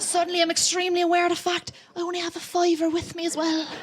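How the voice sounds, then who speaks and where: Against noticeable background noise, a woman with a Cork accent talks at a very fast pace. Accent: Cork accent, stronger when nervous. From Ireland, County Cork. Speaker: comedian. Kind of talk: stand-up. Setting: stage with audience. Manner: animated.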